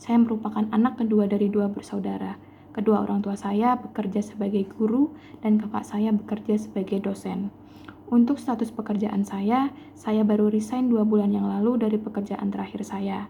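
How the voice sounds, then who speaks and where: A woman talks at a moderate pace with a fairly high pitch. Her intonation is monotone and flat. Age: 20s. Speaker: job applicant, chemistry teacher. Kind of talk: self-introduction for job application. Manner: formal.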